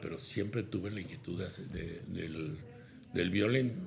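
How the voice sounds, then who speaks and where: Somewhat breathy speech at a moderate pace comes with audible room echo. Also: man. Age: 70s. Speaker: businessman and consultant. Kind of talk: interview.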